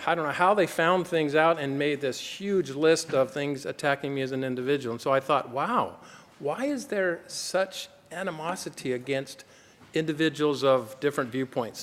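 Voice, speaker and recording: An American-accented man talks at a moderate pace in a normal speaking voice, his pitch fairly high and his pitch variation ordinary. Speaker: doctor, gynecologist speaking at a conference. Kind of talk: conference talk.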